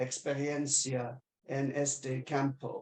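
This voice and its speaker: A non-native accent colors the speech. It unfolds at a very slow pace. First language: not Spanish (speaking Spanish). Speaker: webinar moderator. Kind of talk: webinar moderation. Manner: halting, many fillers.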